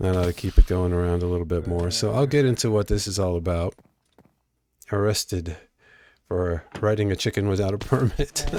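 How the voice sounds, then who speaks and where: In a very clean recording with a silent background, a man with a very deep, low voice talks at a fairly quick pace broken by long, frequent pauses. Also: ordinary pitch variation. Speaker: game streamer. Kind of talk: live gameplay stream. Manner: casual, halting.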